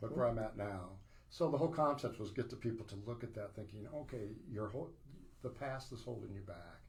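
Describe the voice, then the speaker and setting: With audible room echo, a somewhat breathy man talks at a fairly quick pace with ordinary pitch variation. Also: medium pitch for a man. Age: 60s. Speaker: author. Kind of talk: casual chat.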